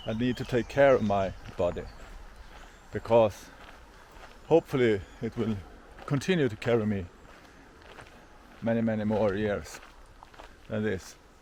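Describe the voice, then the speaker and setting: Speaking with a Swedish accent at a moderate pace, a man uses a fairly low pitch and ordinary pitch variation, with long, frequent pauses. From Sweden. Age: 50s. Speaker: hiker vlogger. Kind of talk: vlog monologue. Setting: outdoors. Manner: halting.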